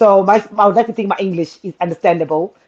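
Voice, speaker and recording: A woman with a Zimbabwean accent, ordinary pitch variation and a fairly quick pace. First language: Shona. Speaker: guest sharing interracial marriage experience. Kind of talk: casual chat.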